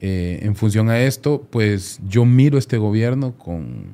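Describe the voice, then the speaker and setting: A fairly low male voice with a dark, mellow tone. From Honduras. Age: 40s. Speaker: lawyer. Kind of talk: interview. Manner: halting, frequent repetitions.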